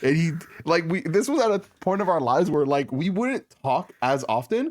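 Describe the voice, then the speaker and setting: This man's high-pitched voice moves through very wide pitch swings while its loudness stays very even. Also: moderate pace. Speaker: podcast host. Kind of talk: casual chat.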